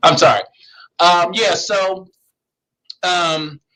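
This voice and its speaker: A man speaks at a very slow pace. He has an American accent. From Philadelphia, US. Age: 40s. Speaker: pastor and seminary administrator. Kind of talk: interview.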